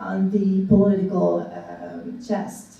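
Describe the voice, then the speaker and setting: A woman talks in a space with audible room echo and noticeable background noise. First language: French. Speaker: academic discussant. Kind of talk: panel talk. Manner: halting, many fillers.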